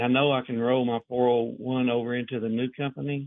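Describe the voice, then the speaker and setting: A plain, everyday voice with an American accent keeps a moderate pace. The intonation stays fairly even. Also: man. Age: 50s. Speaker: caller. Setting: phone call.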